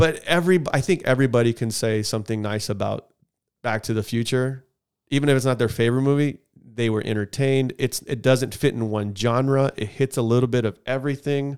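A man's plain, everyday voice, medium in pitch, at a fairly quick pace. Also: ordinary pitch variation. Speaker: podcast co-host. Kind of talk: casual banter podcast chat. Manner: joking, casual.

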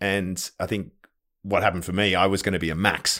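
On a very clean recording with a silent background, a man with a very deep, low pitch and an Australian accent speaks at a fairly quick pace. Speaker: podcast co-host and new father. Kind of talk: casual chat.

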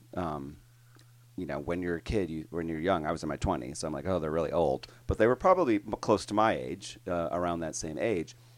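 This man's very deep, low pitch carries vocal fry and ordinary pitch variation. He talks at a fairly quick pace on a very clean recording with a silent background. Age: 50s. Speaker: podcast co-host and line dance instructor. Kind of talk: casual chat.

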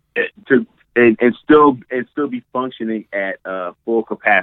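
Ordinary pitch variation from a man, his pace fairly slow. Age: 40s. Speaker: comedian and life coach. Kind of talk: casual chat. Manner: halting.

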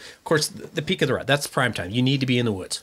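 The voice belongs to a man with an Upper Midwest accent. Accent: Upper Midwest (Minnesota). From Minnesota. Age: 50s. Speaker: hunter and archer. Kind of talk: casual chat.

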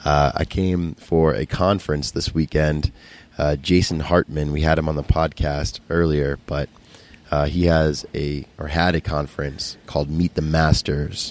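Very deep and low in pitch, a man speaks at a fairly slow pace with fairly even intonation. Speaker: podcast host. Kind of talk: intro monologue.

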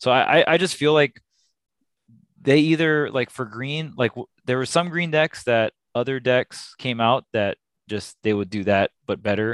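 This man has a plain, everyday voice at a medium pitch, with ordinary pitch variation and a moderate pace, recorded with a dry, close sound and no echo. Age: 30s. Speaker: esports coach and commentator. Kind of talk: casual chat.

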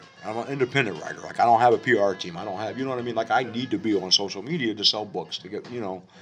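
A man at medium pitch with ordinary pitch variation, very fast with hardly any pauses and big swings in loudness, music playing in the background. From Ohio. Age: 40s. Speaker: writer and poet. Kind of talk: casual chat. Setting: cafe.

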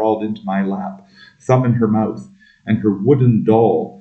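The text is read in a natural reading voice.

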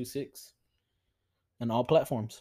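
A man speaks at a fairly slow pace in a medium pitch with a dark, mellow tone. The recording is very clean, with a silent background. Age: 20s. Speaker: car salesman. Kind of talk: casual chat.

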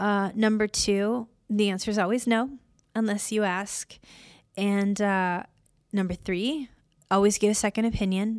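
On a very clean recording with a silent background, a woman of medium pitch talks at a fairly slow pace with long, frequent pauses. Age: 50s. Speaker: podcast host. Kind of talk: personal monologue.

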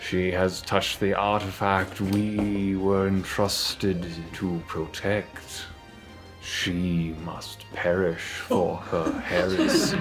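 A man speaks in a put-on character voice, pitched very deep and low. He talks at a very slow pace over clear background music. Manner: solemn, accusatory.

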